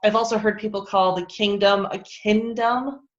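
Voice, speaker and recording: A woman with an American accent, medium in pitch, her intonation monotone and flat. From United States. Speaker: pastor. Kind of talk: casual chat.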